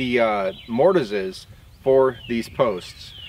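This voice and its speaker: The sound is dry with no echo, and light background noise sits behind a man speaking. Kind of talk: tutorial. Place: open country. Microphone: camera far.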